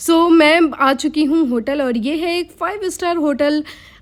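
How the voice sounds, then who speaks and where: A woman's voice with ordinary pitch variation. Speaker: vlogger, software engineer. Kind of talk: casual vlog talk. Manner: pauses often to breathe.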